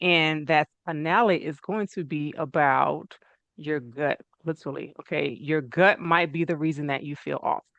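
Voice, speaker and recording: With a normal speaking voice, a woman talks at a moderate pace and a fairly low pitch. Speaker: natural medicine practitioner. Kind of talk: online talk to an audience.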